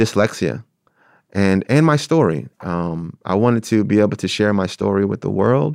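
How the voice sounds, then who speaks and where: Speaking at a fairly slow pace, a man has a fairly low pitch. The sound is dry and close with no echo, against a quiet background. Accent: Philadelphia. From South Philadelphia, US. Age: 30s. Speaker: theater artist and arts educator. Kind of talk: interview about personal story. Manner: halting, many fillers.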